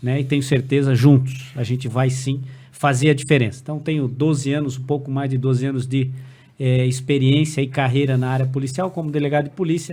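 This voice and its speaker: A man speaks at a fairly quick pace in a dark, mellow, somewhat breathy tone with monotone, flat intonation. Room echo can be heard. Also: medium pitch for a man. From Brazil, Santa Catarina (Blumenau). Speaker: police chief and state politician. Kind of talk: casual podcast conversation.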